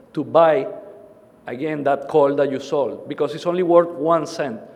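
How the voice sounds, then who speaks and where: The speech moves at a moderate pace with fairly even intonation, with audible room echo and noticeable background noise. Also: man. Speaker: conference presenter on commodity risk management. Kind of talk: conference presentation.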